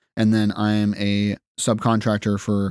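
The man's voice sits at a fairly low pitch and sounds dry and close, with no echo. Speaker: musician and audio producer. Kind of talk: casual chat. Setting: home studio.

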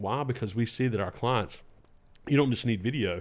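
In a very clean recording with a silent background, a man speaks with a Southern US accent. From North Carolina, Lexington. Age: 30s. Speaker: video director and producer. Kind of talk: casual chat.

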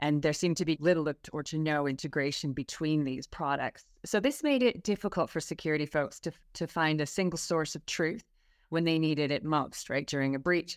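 A woman with a Canadian accent and a very deep, low pitch speaks at a moderate pace, her sound dry and close with no echo on a very clean recording with a silent background. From Canada. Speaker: cybersecurity specialist. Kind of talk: interview.

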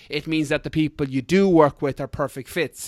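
A man with an Irish accent speaks fairly quickly in a fairly high voice. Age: 30s. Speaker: fitness coach and ultra runner. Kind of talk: casual interview chat. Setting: video call.

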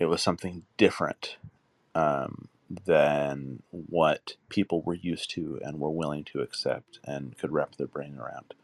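A man's very deep, low voice with vocal fry and fairly even intonation, at a fairly slow pace, in a dry, close sound with no echo. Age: 40s. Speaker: guest with a visual impairment. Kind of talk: casual chat. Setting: live audio chat room.

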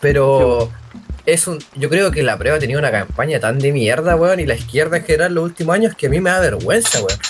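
With a Chilean accent, a man talks at a fairly quick pace with lively intonation and a fairly high pitch over noticeable background noise. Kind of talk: casual chat.

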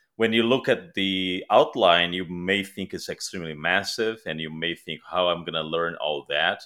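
With a Portuguese accent, a man speaks at a moderate pace in a very deep, low pitch with ordinary pitch variation. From Brazil. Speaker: security author and technologist. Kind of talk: casual chat.

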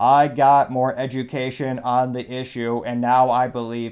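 Putting on a character voice, a man speaks at medium pitch and a moderate pace. His intonation is monotone and flat, over a quiet background. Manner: flat, scripted, as if coerced.

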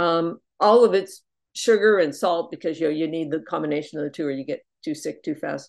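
Here is a woman with a plain, everyday voice, at fairly low pitch with ordinary pitch variation. She talks at a fairly quick pace over a quiet background. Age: 60s. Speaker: twelve-step speaker. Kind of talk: testimony. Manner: casual, with many fillers.

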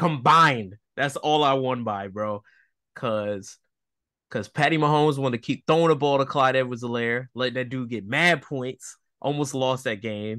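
A man's medium-pitched, bright, sharp voice at a moderate pace, with ordinary pitch variation, over a quiet background. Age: 30s. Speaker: podcast co-host, stay-at-home husband, military background. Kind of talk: casual chat.

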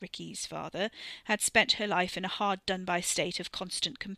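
The text is read aloud plainly. Its intonation stays fairly level.

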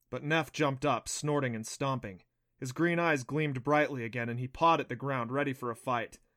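Ordinary pitch variation comes through in an unforced reading voice. Behind it, all is quiet.

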